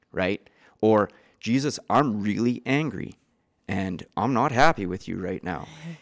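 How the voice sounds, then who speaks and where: A man's fairly low voice in a western Canadian accent, lively in intonation and fairly slow, on a very clean recording with a silent background and a dry, close sound with no echo. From Canada, east central Alberta. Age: 30s. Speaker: recovering addict sharing his story. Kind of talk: testimony. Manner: talkative.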